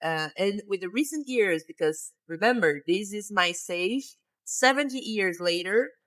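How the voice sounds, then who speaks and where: Speaking in a Portuguese accent, a woman uses a medium pitch and lively intonation at a fairly slow pace. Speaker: gaming YouTuber. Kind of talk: game tutorial/walkthrough. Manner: casual, hesitant with fillers.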